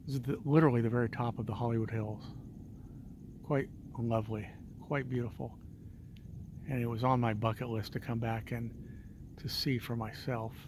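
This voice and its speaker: A soft-spoken man talks at a fairly quick pace in a somewhat breathy voice. Long, frequent pauses break up his speech. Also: medium pitch for a man. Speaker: vlogger. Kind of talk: casual vlog narration. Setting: outdoors at night on a hilltop street. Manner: quiet, soft-spoken.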